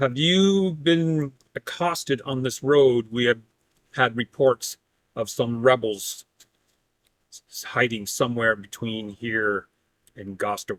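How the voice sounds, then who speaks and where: Using a put-on character voice with lively intonation, a man talks at a fairly slow pace with long, frequent pauses, in a dry, close sound with no echo. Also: medium pitch for a man. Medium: actual play. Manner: formal, reserved.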